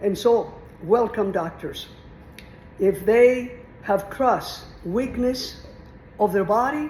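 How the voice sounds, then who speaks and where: A woman with a Mexican accent at a fairly high pitch, very slow with long, frequent pauses, ordinary pitch variation, noticeable background noise and audible room echo. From Mexico. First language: Spanish. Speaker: retired teacher. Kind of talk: informal lecture on philosophy. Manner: conversational, meandering.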